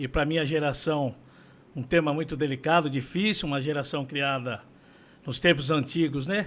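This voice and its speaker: With a plain, everyday voice, a man talks at a moderate pace and a fairly high pitch, his intonation fairly even, on a very clean recording with a silent background. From São Paulo, Brazil. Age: 60s. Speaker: condominium administrator. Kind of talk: interview testimony.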